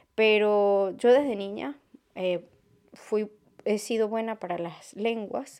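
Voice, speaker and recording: Against a quiet background, a woman with a dark, mellow tone and medium pitch speaks at a fairly slow pace. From Venezuela. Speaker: podcast host. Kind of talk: solo podcast monologue. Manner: halting.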